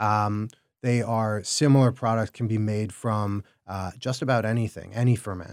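A man's plain, everyday voice at a medium pitch with an American accent. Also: very clean recording, silent background. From Chicago, US Midwest. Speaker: food entrepreneur. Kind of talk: casual interview. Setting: studio.

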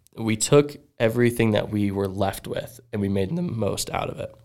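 A man with an American accent talks in a normal speaking voice, fairly low in pitch. The recording is very clean, with a silent background. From South Florida. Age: 20s. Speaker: professional BMX rider. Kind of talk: testimony.

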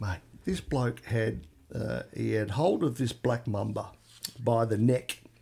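Speaking very slowly, a man talks with an Australian accent. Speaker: podcast co-host. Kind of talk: casual chat. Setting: remote studio together in person.

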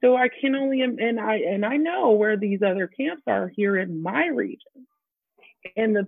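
A woman with a plain, everyday voice speaks at a moderate pace with lively intonation and a fairly high pitch. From Texas. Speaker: camp activities director. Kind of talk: panel discussion.

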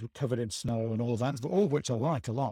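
Somewhat breathy, a man's voice comes through dry and close with no echo on a very clean recording with a silent background. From northern England, Stockton-on-Tees. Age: 50s. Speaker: short story writer, retired civil servant. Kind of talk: casual interview chat.

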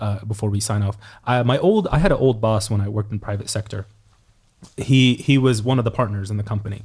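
At a very fast pace, a man talks with a fairly low pitch, a somewhat breathy quality and fairly even intonation. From Egypt. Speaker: podcast host. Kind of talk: casual chat.

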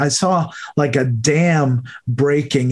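A man with an American accent talks in a fairly high, somewhat breathy voice, and his pitch varies in an ordinary way. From New York. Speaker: podcast host. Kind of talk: interview. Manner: warm, enthusiastic.

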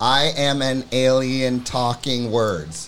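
A man puts on a character voice at a medium pitch. He speaks very slowly. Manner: robotic, flat.

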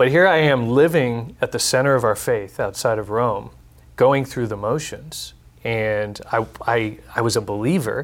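A man with a plain, everyday voice speaks at medium pitch with an American accent. His pitch variation is ordinary, and the recording is very clean with a silent background. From Texas. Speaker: nonprofit executive. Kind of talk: panel discussion. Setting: studio.

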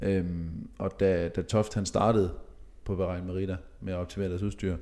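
With a dark, mellow tone and very deep, low pitch, a man speaks at a moderate pace in a monotone, flat intonation. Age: 20s. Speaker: professional racing cyclist. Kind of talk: casual chat.

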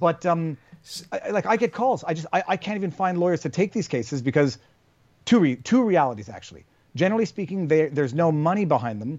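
This man has a plain, everyday voice with a Canadian accent. His pitch is fairly high, and he talks at a fairly quick pace. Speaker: lawyer and YouTuber. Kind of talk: casual interview conversation. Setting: remote call.

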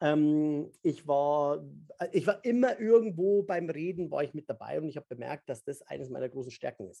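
His tone is dark and mellow, though his pitch runs fairly high. The man talks at a moderate pace with lively intonation. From Bavaria, Upper Palatinate. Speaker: memory expert and speaker. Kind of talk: casual interview.

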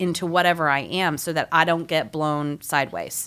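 A woman speaks in a plain, everyday voice, fairly low and fairly even in intonation. The recording is very clean, the background silent. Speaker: returning podcast guest. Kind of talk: casual chat.

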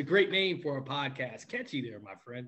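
Here is a man with a normal speaking voice and an American accent. He talks at a moderate pace with a fairly high pitch and ordinary pitch variation. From New York. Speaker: podcast co-host, sports journalist. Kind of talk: casual interview chat.

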